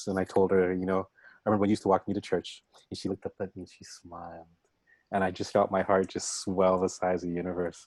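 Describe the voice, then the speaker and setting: Speaking at a fairly quick pace with a Canadian accent, this is a plain, everyday voice with a dry, close sound with no echo on a very clean recording with a silent background. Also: man. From Canada, Scarborough, Toronto. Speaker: showcase host. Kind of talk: casual talk to audience.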